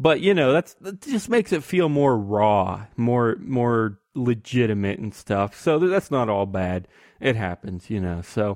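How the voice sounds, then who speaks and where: Speaking at a fairly slow pace with hardly any pauses, a man with a medium-pitched voice makes very wide pitch swings. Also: dry, close sound with no echo. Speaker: podcast host. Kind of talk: casual banter podcast. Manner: joking, sarcastic.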